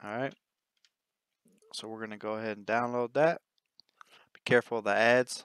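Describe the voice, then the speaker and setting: A man's medium-pitched voice at a fairly quick pace, with fairly even intonation, big swings in loudness, long, frequent pauses and a dry, close sound with no echo. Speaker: gaming tutorial youtuber. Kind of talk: tutorial. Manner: fast; casual.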